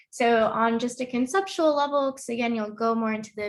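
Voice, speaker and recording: In a very clean recording with a silent background, a woman uses a normal speaking voice, fairly high in pitch, with ordinary pitch variation. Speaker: lecturer. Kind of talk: lecture.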